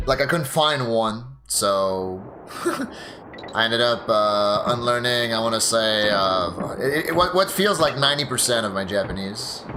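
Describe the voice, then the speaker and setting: A man speaks at a fairly slow pace with lively intonation. There is audible room echo and noticeable background noise. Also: medium pitch for a man. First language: French. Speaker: video game streamer. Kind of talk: casual chat. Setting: livestream.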